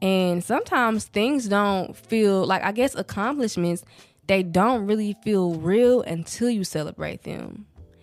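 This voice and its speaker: A woman's medium-pitched voice with lively intonation at a fairly slow pace, recorded very cleanly against a silent background. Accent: Southern US. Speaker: podcast host. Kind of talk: casual podcast monologue. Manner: casual, conversational.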